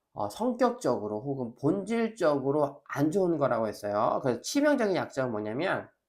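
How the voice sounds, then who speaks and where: Energetic in tone, a man speaks at a moderate pace with very wide pitch swings. The recording is very clean, with a silent background. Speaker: professor. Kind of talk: lecture. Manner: energetic lecture delivery.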